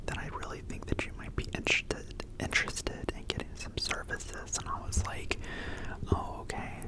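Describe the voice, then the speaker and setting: Whispering at a moderate pace, a man can be heard through noticeable background noise. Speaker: Reiki healer. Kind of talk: ASMR story time. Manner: soft-spoken, relaxing.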